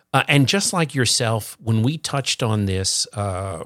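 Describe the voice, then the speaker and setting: A man speaks at a medium pitch and a moderate pace, with ordinary pitch variation. The recording is very clean, dry and close with no echo over a silent background, an ordinary speaking voice. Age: 60s. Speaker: guest, longtime Superman fan. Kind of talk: casual interview chat.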